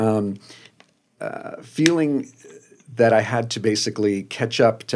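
The recording is very clean, with a silent background. A man speaks in a New Jersey accent. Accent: New Jersey American. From US Northeast, New Jersey suburbs. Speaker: magazine design director. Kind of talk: interview.

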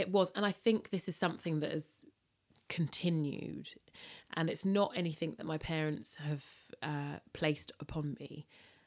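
With a London accent, the speaker keeps a moderate pace, uses ordinary pitch variation and takes long, frequent pauses on a very clean recording with a silent background. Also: woman, very deep, low pitch for a woman. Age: 30s. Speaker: food and events entrepreneur. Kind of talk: interview about personal loss.

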